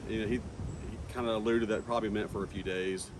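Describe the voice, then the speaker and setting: Fairly even intonation from a fairly low-pitched man, amid audible room echo. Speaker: beekeeper vlogger. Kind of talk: casual vlog talk. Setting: outdoors. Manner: fast; hesitant with fillers.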